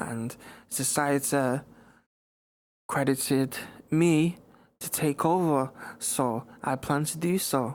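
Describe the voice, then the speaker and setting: Recorded very cleanly against a silent background, a man with a fairly high pitch and ordinary pitch variation speaks at a very slow pace with long, frequent pauses. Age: young. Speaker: singer and rapper. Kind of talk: interview.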